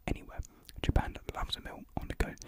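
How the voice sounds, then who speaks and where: A soft-spoken man whispers at a fairly quick pace. The sound is dry with no echo, over loud background noise. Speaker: youtuber. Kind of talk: casual unboxing vlog chat, mukbang style. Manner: soft ASMR whisper close to mic. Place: home room. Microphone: studio mic.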